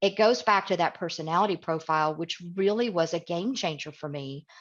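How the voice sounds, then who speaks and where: A woman with an American accent speaks in a normal speaking voice at a fairly low pitch against a quiet background. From US South, East Tennessee. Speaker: communication coach, guest speaker. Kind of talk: webinar talk. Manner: direct.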